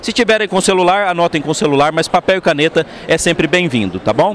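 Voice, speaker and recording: This man talks at a fairly quick pace with an animated tone, lively intonation and a high pitch, captured in a dry, close sound with no echo over noticeable background noise. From interior of São Paulo state, Brazil (Assis). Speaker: motivational speaker on leadership. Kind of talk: keynote talk. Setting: event stage, audience on headphones. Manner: animated, engaging the audience.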